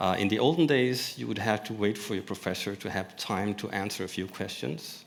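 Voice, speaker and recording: Audible room echo around a man's fairly low, fairly quick speech. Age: 50s. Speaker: panelist, toy maker and company owner. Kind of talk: panel discussion. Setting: conference stage with audience. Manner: halting, many repetitions.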